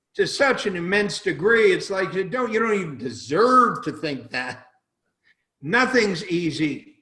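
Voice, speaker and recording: Speaking in a raised, projected voice, a man with a high pitch and a bright, sharp tone moves at a fairly slow pace through very wide pitch swings. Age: 80s+. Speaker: business author. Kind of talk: interview. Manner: emphatic.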